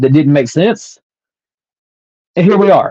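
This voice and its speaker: A man with a Southern accent, dark and mellow in tone, ordinary pitch variation, in a dry, close sound with no echo. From US South. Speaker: podcast host and author. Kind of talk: personal storytelling monologue.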